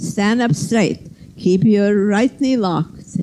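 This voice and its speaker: Over light background noise, a woman speaks at a fairly slow pace with a dark, mellow tone and ordinary pitch variation. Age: 80s+. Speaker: yoga teacher. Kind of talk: led yoga class instruction. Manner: precise, constantly reminding. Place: gym.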